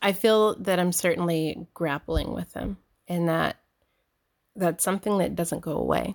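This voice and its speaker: A woman with an American accent at a moderate pace, in a dry, close sound with no echo on a very clean recording with a silent background. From US South, Georgia, military upbringing. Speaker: visual artist. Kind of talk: interview conversation.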